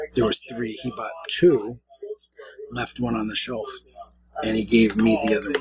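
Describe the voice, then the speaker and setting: The speech moves at a moderate pace, with a dry sound, no echo, and light background noise. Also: man. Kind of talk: casual vlog chat. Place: home room. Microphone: webcam.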